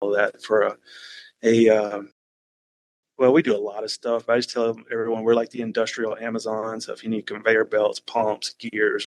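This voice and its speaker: The sound is dry and close with no echo as a man speaks with a slight Southern US accent in monotone, flat intonation. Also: medium pitch for a man, moderate pace. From Alabama, US South. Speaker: risk management worker, podcast guest. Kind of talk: casual chat.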